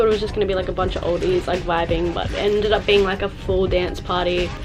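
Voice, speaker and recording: A woman with an Australian accent over noticeable background noise. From Sydney, Australia. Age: 20s. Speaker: travel vlogger. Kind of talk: casual vlog talk to camera.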